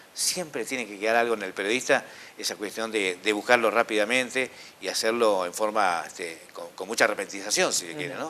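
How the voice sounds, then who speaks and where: The delivery is fairly quick, with ordinary pitch variation and big swings in loudness. Noticeable background noise runs underneath. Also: man, fairly low pitch for a man. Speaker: radio announcer and host. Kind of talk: interview answer.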